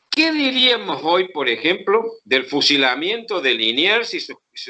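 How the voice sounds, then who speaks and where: A man's raised, projected voice, high in pitch, with very wide pitch swings, a fairly slow pace and hardly any pauses. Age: 70s. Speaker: historian. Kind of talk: interview. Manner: halting.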